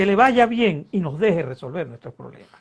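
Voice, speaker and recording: Against a quiet background, the speaker has a Venezuelan accent and lively intonation. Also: man. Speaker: political scientist and politician. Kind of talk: interview. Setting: online video interview. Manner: animated.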